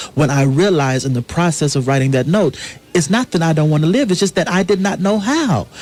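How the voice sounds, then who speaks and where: Using lively intonation and a fairly high pitch, a man talks at a fairly quick pace with very even loudness. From US South. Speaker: playwright. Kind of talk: radio interview. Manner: earnest, impassioned.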